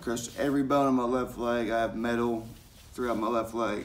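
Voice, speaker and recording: The speaker is a man with an American accent. He talks in a monotone, flat intonation. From Knoxville, Tennessee; Tennessee. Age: 30s. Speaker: vlogger. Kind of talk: personal vlog testimony. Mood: earnest, serious personal story. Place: home room. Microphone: phone near.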